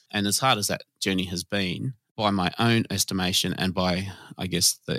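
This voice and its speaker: A man with an Australian accent has a very deep, low pitch and a bright, sharp tone, recorded dry and close with no echo and a silent background on a very clean recording. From Sydney southwest, Australia. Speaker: nighttime economy commissioner. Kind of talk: interview conversation. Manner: halting.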